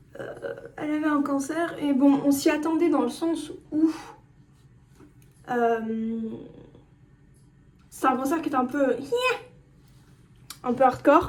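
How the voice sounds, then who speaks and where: With audible room echo, a woman speaks at a high pitch using fairly even intonation. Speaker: vlogger. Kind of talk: casual monologue vlog. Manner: halting.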